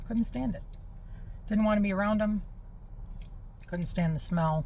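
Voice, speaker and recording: Audible room echo surrounds a somewhat breathy voice. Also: woman. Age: 50s. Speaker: spiritual healing vlogger. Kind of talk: casual monologue. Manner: conversational, with fillers and restarts.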